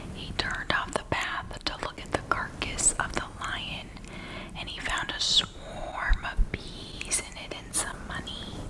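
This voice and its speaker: The speech is a whisper, delivered fairly slowly. Noticeable noise sits in the background. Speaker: ASMR channel host. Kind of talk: whispered bedtime Bible story reading (ASMR). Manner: whispered, soft.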